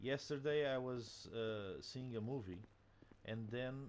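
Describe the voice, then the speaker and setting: The speaker is a man with a Portuguese accent. He talks at a fairly slow pace. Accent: Portuguese accent, non-native English. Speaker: gaming video creator. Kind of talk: casual game commentary. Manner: halting, many fillers.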